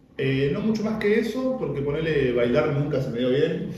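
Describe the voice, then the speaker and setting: A man talks at a fairly quick pace with lively intonation. Audible room echo and noticeable background noise surround him. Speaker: freestyle rapper and workshop teacher. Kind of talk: casual interview.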